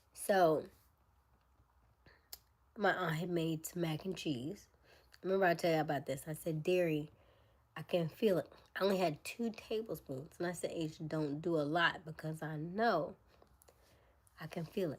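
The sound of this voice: A woman does a put-on character voice that is raspy and fairly low in pitch. She talks at a moderate pace, with long, frequent pauses.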